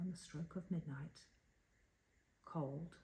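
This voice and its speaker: A soft-spoken woman talks at a very slow pace in a calm, dark, mellow tone, somewhat breathy, with fairly even intonation. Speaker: storyteller. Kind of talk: poetry reading. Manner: soft-spoken, calm.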